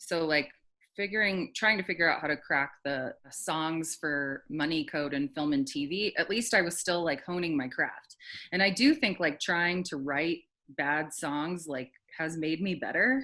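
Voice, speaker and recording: The speaker has a bright, sharp tone and a slight Southern US accent, talking fairly slowly with ordinary pitch variation over a quiet background. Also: woman, fairly low pitch for a woman. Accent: slight Southern twang in singing. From Alabama, US South. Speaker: singer-songwriter. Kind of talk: casual interview chat.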